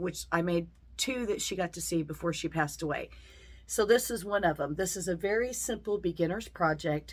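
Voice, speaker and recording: Speaking at a moderate pace, a woman with a fairly low pitch shows vocal fry. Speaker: quilting teacher. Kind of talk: tutorial. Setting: home sewing room.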